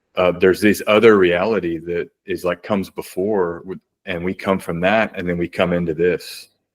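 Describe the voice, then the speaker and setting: With hardly any pauses, a man speaks in a very deep, low pitch and a monotone, flat intonation, the sound dry and close with no echo. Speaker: astrologer. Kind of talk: panel discussion. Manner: fast.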